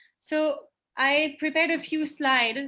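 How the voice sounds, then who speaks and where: A woman's raised, projected voice in a French accent, bright and sharp in tone. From France. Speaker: sustainability director giving a webinar. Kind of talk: webinar presentation. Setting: online video call.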